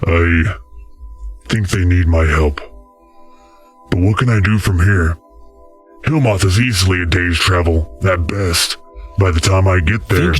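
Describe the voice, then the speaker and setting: A man's put-on character voice, very deep and low, with long, frequent pauses and faint music in the background. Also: moderate pace. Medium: audio drama.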